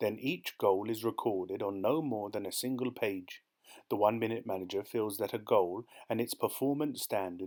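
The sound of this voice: Unforced reading voice throughout.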